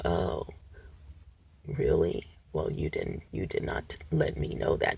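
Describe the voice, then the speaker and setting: In a put-on character voice, a man speaks at a fairly slow pace. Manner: unemotional.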